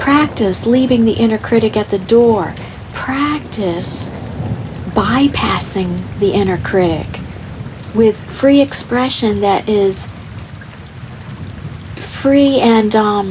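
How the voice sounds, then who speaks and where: A soft-spoken woman with a fairly high pitch and ordinary pitch variation talks at a very slow pace with long, frequent pauses. Her loudness stays very even over noticeable background noise. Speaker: artist. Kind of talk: ASMR soft-spoken art tutorial talk. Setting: rain sounds in background.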